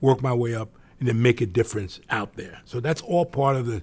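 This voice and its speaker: A somewhat breathy man speaks at medium pitch with ordinary pitch variation. The recording is very clean, with a silent background. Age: 70s. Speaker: business executive. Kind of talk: interview. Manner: halting.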